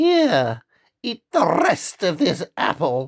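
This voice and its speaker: A man puts on a croaky character voice with a high pitch. He speaks at a very slow pace. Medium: read story.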